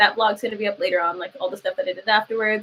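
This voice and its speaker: A woman with a Southern Californian accent speaks at a medium pitch in a bright, sharp tone. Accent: Valley Girl. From Lancaster, California (US West Coast). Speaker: jiu-jitsu athlete and content creator. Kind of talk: casual livestream chat. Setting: live stream.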